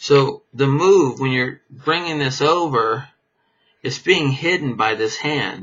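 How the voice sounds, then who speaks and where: This man's voice sits fairly high in pitch. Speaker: magician teaching card tricks. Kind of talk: tutorial. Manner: casual, halting with restarts.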